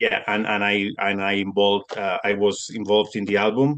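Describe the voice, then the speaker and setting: A man with a Spanish accent talks at a moderate pace in a fairly low pitch. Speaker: metal musician. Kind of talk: interview. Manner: halting.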